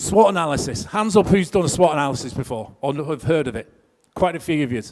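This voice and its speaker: This man talks at a very fast pace in a fairly high voice. His intonation is lively. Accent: northwest English. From northwest England. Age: 50s. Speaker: career coach. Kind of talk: seminar talk. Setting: stage with audience. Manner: conversational.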